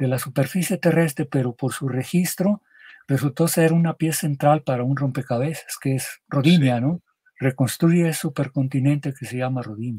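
A man's somewhat breathy voice with a dark, mellow tone, fairly high pitch, ordinary pitch variation and a moderate pace, over a quiet background. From Mexico, Michoacán. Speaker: geologist; interviewee. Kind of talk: interview. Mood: calm explanatory. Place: home room.

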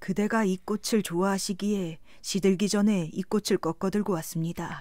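A woman's dark, mellow, medium-pitched voice with monotone, flat intonation at a moderate pace, in a very clean recording with a silent background. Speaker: audiobook narrator. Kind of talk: sleep story.

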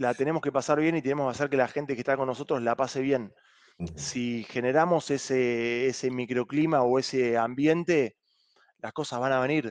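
A man with a Rioplatense accent, ordinary pitch variation, and a quiet background. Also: moderate pace. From Argentina. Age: 30s. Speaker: rugby club president. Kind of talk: interview. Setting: video call. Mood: relaxed, friendly. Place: home room. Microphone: headset.

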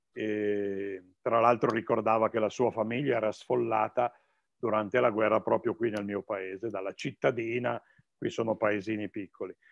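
A man is heard in a dry recording with no echo and a quiet background. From northern Italy, Piedmont (Novara province); Piedmont, Italy. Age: 60s. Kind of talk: talk; talk answering questions. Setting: video call. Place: office. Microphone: video call.

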